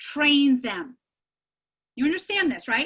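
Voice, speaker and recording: A woman talks at a high pitch. Her pitch swings very widely. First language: not English. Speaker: keynote speaker. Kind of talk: keynote speech. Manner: animated.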